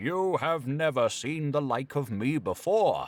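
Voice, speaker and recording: This man adopts a put-on character voice, pitched fairly high and paced fairly slowly. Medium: read story.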